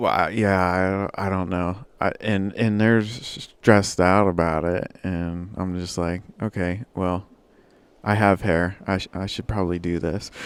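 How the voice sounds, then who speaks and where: On a very clean recording with a silent background, a man with a very deep, low voice talks fairly slowly in a flat monotone. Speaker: gaming livestreamer. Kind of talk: casual livestream chat. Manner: halting, stammering.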